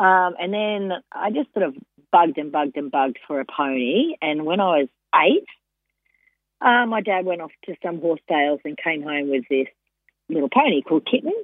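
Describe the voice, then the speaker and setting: With an Australian accent, a woman with a fairly low pitch speaks at a moderate pace with lively intonation and long, frequent pauses. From Queensland, Australia. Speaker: former jockey and racing broadcaster. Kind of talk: casual chat. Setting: phone call.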